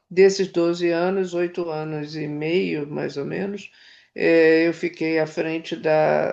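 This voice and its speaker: Against a quiet background, a woman speaks at a very slow pace in a fairly low pitch with monotone, flat intonation. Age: 70s. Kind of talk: interview. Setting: at home. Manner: halting.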